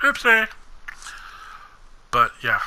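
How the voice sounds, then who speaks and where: A man is speaking. His pace is fairly slow. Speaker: gaming youtuber. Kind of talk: personal monologue video. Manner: monotone.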